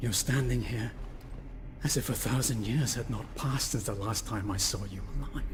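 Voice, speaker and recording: A man performs a put-on character voice at medium pitch and a moderate pace. Loud background noise runs underneath. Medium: video game. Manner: brooding, intense.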